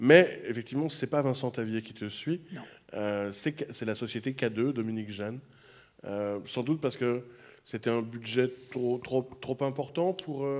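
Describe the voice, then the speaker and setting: A man with medium pitch and ordinary pitch variation, at a fairly slow pace. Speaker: film programmer; moderator interviewing a director. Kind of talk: interview. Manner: halting. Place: stage. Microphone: handheld.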